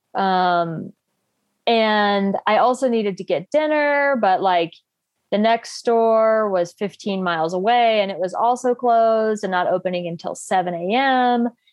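At a fairly slow pace, a woman with an ordinary speaking voice talks in a fairly high pitch with ordinary pitch variation. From US South, North Carolina. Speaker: bikepacking racer and copywriter. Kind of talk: casual interview. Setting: call.

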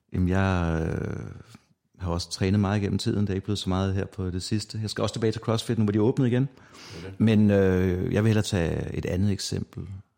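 A man speaks very fast in a dark, mellow tone. His pitch is fairly low and his intonation fairly even. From Denmark, North Zealand. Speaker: true crime podcaster. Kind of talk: casual chat.

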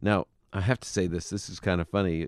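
A man's very deep, low voice with vocal fry at a very fast pace, against a quiet background. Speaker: radio Bible teacher and professor. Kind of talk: call-in radio Q&A. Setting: studio.

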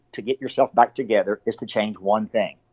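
Speaking with a Texan accent, a man keeps a moderate pace and a medium pitch. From Texas, Abilene. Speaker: ultrarunner and running store owner. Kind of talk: interview conversation.

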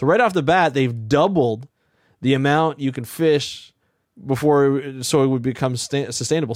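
On a very clean recording with a silent background, a plain, everyday voice shows ordinary pitch variation. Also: man. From Ontario, Canada. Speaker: marine ecologist, podcast host. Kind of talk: interview.

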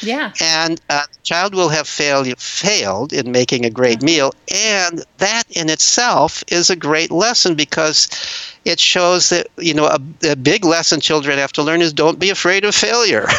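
A man speaks at a high pitch with lively intonation and very even loudness. His pace is moderate, with noticeable background noise around him. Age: 70s. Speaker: retired professor and author. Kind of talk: interview. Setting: remote call.

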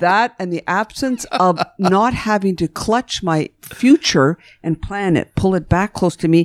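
Her intonation is lively and her pitch fairly low for a woman. She speaks at a fairly slow pace. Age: 60s. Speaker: psychotherapist. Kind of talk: interview, storytelling. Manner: halting, reflective.

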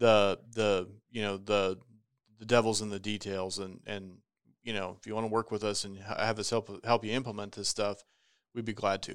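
Speaking in an American accent, a man with a fairly low pitch talks at a moderate pace in a flat monotone, on a very clean recording with a silent background. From Nebraska, US Midwest. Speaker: insurance risk advisor. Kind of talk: casual chat.

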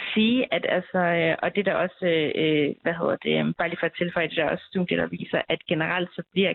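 At a moderate pace, a woman speaks in a fairly low voice. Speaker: PhD researcher. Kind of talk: expert interview. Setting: phone call. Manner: hesitant, many fillers.

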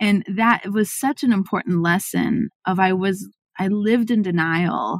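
This normal speaking voice moves at a fairly slow pace with ordinary pitch variation and very even loudness, in a dry, close sound with no echo. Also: woman, medium pitch for a woman. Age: 40s. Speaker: marketing agency CEO. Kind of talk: interview conversation.

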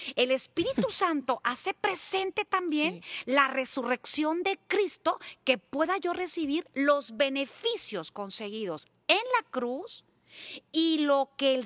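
A woman's high-pitched, very slow delivery with very wide pitch swings, in a dry, close sound free of echo. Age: 50s. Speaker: evangelist. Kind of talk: testimony and religious teaching.

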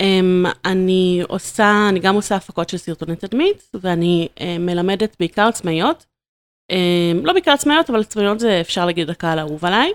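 A woman's unremarkable speaking voice at a medium pitch, with ordinary pitch variation and a moderate pace, on a very clean recording with a silent background and a dry, close sound with no echo. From Israel, Ramat Gan. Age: 30s. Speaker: video marketing entrepreneur. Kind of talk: casual interview.

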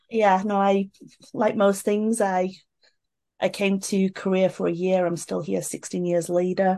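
Against a quiet background, a woman with a British accent speaks at a fairly slow pace in a medium pitch, with a dark, mellow tone and monotone, flat intonation. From UK. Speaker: social media entrepreneur and event organizer. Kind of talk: casual chat.

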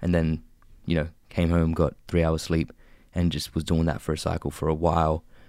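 Very deep, low male speech at a fairly quick pace, captured on a very clean recording against a silent background. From Australia, mid-North Coast NSW (Bowraville). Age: young. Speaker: rapper. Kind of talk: interview. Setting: radio studio.

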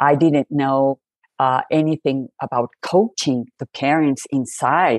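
A woman's very deep, low voice at a very slow pace, with ordinary pitch variation and very even loudness. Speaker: hearing rehabilitation specialist. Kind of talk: interview conversation. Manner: halting, with fillers.

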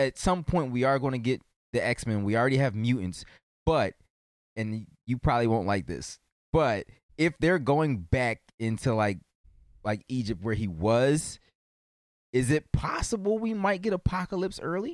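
Here a man with a medium pitch speaks at a moderate pace, his pitch swinging very widely and broken by long, frequent pauses. The sound is dry and close, with no echo. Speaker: podcast co-host. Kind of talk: casual chat. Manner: halting.

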